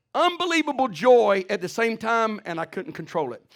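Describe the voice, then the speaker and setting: A man talks loudly at an extremely high pitch. His tone is animated, with very wide pitch swings. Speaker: pastor. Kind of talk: sermon.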